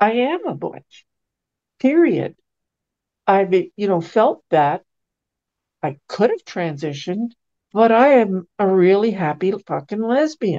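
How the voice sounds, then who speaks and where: A woman's dark, mellow tone at a very slow pace, with very wide pitch swings, long, frequent pauses and a dry, close sound with no echo. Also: medium pitch for a woman. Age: 70s. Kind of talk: interview conversation.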